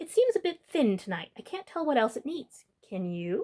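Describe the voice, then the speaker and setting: At a moderate pace, a female-sounding voice performs a put-on character voice, pitched high and making very wide pitch swings. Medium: read story.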